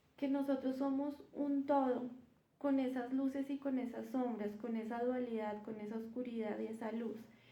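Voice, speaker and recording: Soft-spoken and high-pitched, a woman talks at a fairly slow pace with a dark, mellow tone and monotone, flat intonation, with audible room echo. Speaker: spiritual content creator. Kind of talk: live stream talk. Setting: livestream. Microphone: no microphone used.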